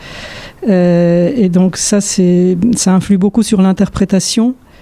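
Against noticeable background noise, a woman speaks in a medium pitch with fairly even intonation. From Poland (Warsaw). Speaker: orchestral violinist. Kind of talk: interview monologue. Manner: halting.

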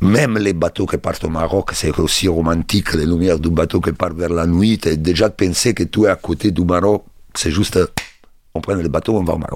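A man speaks with an Italian accent. His pitch is very deep and low, and his intonation stays fairly even. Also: moderate pace. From Italy, Rome. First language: Italian (speaking French). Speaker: bassist and music producer. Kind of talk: interview monologue. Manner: halting.

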